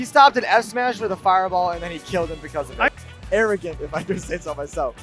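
A man's excited tone at a fairly quick pace, with music in the background. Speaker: esports commentator. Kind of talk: esports match commentary. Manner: excited, fast, hype.

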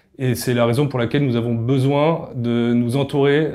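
A man speaks at a medium pitch in a dark, mellow tone with monotone, flat intonation. The background is quiet. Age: 30s. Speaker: company co-founder. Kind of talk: recruitment video pitch. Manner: hesitant with filler sounds. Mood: calm, earnest. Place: office.

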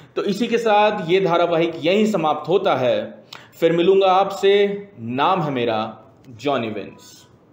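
A man talking at a very slow pace, with audible room echo. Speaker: comic film trailer reviewer. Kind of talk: mock review commentary. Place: office.

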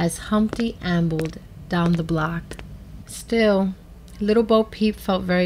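With ordinary pitch variation, a person reads aloud in a natural voice.

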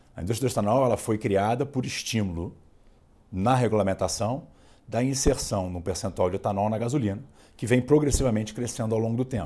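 A man's dark, mellow tone at a fairly quick pace with ordinary pitch variation. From Brazil. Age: 40s. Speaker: oil company executive; interviewee. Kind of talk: interview. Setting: studio. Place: studio. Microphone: lapel.

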